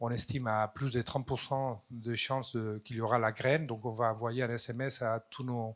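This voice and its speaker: A man speaks with a non-native accent at a medium pitch, leaving hardly any pauses. His intonation is monotone and flat, and the recording is very clean with a silent background. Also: moderate pace. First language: not French (speaking French). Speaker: audience member. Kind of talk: audience question.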